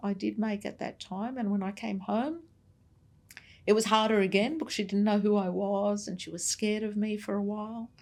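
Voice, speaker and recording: Speaking at a moderate pace, a woman with an Australian accent uses a medium pitch. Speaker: navy veteran. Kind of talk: interview.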